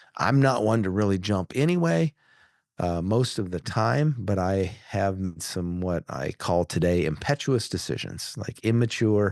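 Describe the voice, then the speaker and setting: A man has an ordinary speaking voice with a fairly low pitch and lively intonation. He speaks at a fairly slow pace against a quiet background. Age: 60s. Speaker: podcast host and business owner. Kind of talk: solo podcast monologue. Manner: casual with frequent fillers and restarts.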